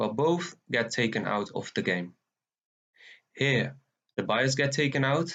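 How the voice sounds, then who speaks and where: Speaking fairly slowly with a Dutch accent, a man at a medium pitch uses lively intonation against a quiet background. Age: 20s. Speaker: forex trader. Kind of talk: tutorial.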